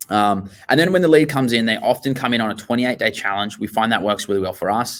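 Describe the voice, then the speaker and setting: Talking at a very fast pace with an Australian accent, a man keeps a medium pitch with ordinary pitch variation. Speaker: gym owner. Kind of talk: interview. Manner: animated.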